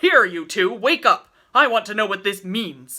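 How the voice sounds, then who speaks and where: Putting on a gruff character voice, a woman speaks at medium pitch and a moderate pace with lively intonation. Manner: demanding, angry.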